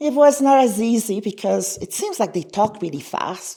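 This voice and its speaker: With a Quebec accent, a woman speaks at a fairly slow pace in a dark, mellow tone, her pitch swinging very widely. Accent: Canadian French-accented English. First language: French. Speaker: conference speaker, language education researcher. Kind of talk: conference presentation.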